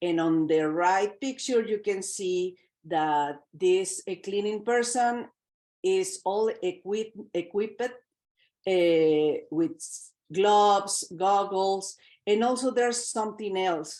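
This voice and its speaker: At a very slow pace, a woman speaks at medium pitch in a dark, mellow tone with ordinary pitch variation. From Mexico City, Mexico. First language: Spanish. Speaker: health and safety trainer. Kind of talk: workplace safety training presentation.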